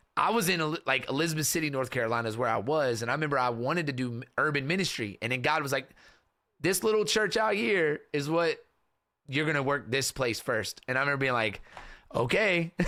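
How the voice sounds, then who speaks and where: A man with an American accent talks at a very fast pace with a fairly high pitch, an animated, bright, sharp tone and lively intonation. The recording is very clean, with a silent background. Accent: slight Kentucky accent, comes out sometimes. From US South, western Kentucky small town. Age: 30s. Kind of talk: casual interview chat. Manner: animated, casual storytelling.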